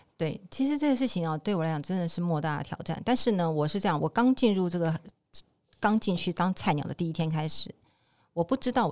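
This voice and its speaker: The speech is very fast, with lively intonation. The recording is very clean and dry, with a close sound, a silent background and no echo. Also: woman. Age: 50s. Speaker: insurance agent and part-time store clerk. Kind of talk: interview.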